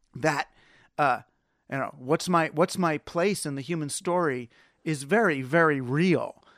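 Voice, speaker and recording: In a very clean recording with a silent background and a dry, close sound with no echo, a man with a plain, everyday voice speaks at a fairly high pitch and a fairly slow pace. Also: ordinary pitch variation. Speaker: author and technology critic. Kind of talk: radio interview.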